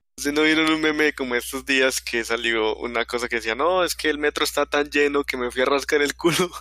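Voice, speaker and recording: Hardly pausing, a man speaks at a fairly quick pace with fairly even intonation. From Colombia, not Medellín. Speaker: podcast host. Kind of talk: casual chat. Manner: halting, repetitive.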